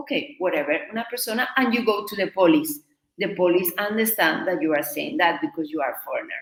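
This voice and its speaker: At a very fast pace, a woman speaks in a medium pitch with very wide pitch swings. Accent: Spanish. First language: Spanish. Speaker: Spanish teacher. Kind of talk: live online lesson.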